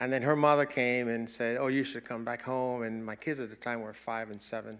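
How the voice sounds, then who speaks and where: This man speaks with a Spanish accent and fairly even intonation. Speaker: panelist sharing migration story. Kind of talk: personal testimony. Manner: halting.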